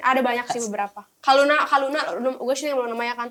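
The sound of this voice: Her fairly high pitch moving with ordinary variation, a woman speaks very fast in a fairly bright tone.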